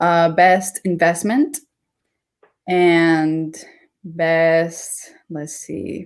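At a very slow pace with long, frequent pauses, a woman talks at a fairly low pitch with fairly even intonation. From Ecuador, moved to US at nine. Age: 20s. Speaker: dancer and crypto content creator. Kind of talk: casual interview chat. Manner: hesitant with many fillers.

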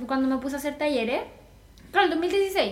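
A high-pitched woman with a Chilean accent speaks amid audible room echo. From Chile, Viña del Mar. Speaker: graphic designer and lettering teacher. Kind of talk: casual interview chat.

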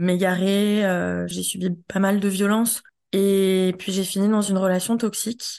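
Against a quiet background, a woman of medium pitch speaks at a fairly slow pace with monotone, flat intonation. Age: 30s. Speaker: feminist activist. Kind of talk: testimony. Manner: halting.

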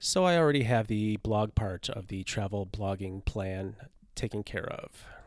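On a very clean recording with a silent background, a normal speaking voice proceeds at a moderate speed, its pitch varying in an ordinary way. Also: man, fairly low pitch for a man. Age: 50s. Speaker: podcast host and travel writer. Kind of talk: solo podcast monologue.

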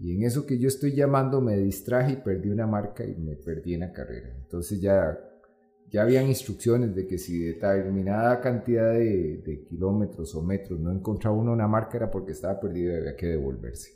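Music plays in the background as a man talks at a fairly quick pace. His voice is fairly low in pitch, with lively intonation. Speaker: entrepreneur and amateur ultramarathon runner. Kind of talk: interview.

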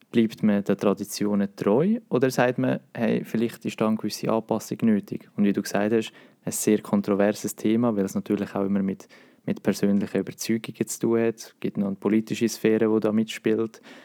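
A man with a Swiss accent talks at a fairly quick pace in a fairly low voice with a dark, mellow tone. His intonation stays fairly even, and the sound is dry and close with no echo. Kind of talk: casual chat.

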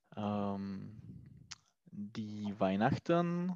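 Speaking very slowly in a Czech accent, a man uses a fairly low, dark, mellow voice with lively intonation. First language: Czech (speaking German). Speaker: language student. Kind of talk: language lesson. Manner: halting.

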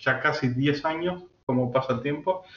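Fairly high in pitch for a man, this is an unremarkable speaking voice with ordinary pitch variation, delivered at a fairly slow pace. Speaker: AI and algorithmic trading expert. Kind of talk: interview.

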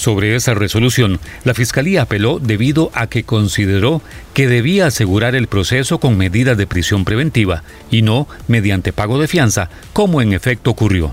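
A man speaks at a very even volume. His intonation is lively, with noticeable background noise. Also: medium pitch for a man, moderate pace. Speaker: news presenter. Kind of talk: news reading.

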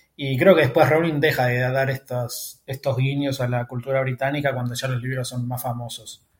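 At a fairly quick pace, a man talks in a medium pitch that sounds somewhat breathy. His intonation is monotone and flat. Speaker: podcast host. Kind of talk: casual chat.

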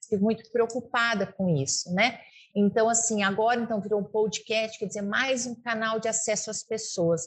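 Somewhat breathy and fairly high-pitched, a woman talks at a moderate pace with ordinary pitch variation. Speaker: veterinarian, rural producer and radio host. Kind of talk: interview. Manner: fluent, hesitant fillers.

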